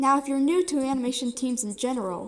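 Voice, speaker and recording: At a fairly quick pace, a woman is talking. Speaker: animation series creator. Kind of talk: casual talk to camera. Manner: stuttering.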